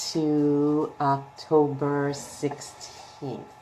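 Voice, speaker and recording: A woman's very deep, low voice amid noticeable background noise. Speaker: spiritual coach giving weekly energy forecast. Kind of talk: casual live stream tarot card reading. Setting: live video stream. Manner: quieter than usual.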